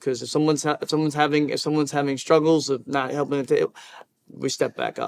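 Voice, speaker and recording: A man talks at a fairly quick pace, recorded with a dry, close sound and no echo. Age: 20s. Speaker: hotel employee. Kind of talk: interview. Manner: halting.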